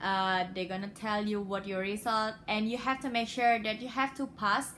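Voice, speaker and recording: The voice carries an Indonesian accent, with a bright, sharp tone and ordinary pitch variation. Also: woman. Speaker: international graduate vlogger. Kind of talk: casual tutorial vlog. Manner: hesitant, many fillers.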